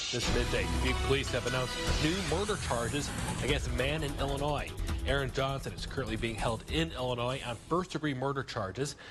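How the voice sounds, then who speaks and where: Lively intonation and a very fast pace mark this speech in an American accent, with music in the background. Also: man, medium pitch for a man. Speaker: weekday morning TV news anchor. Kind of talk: TV news anchor read. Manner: professional, newsreader delivery.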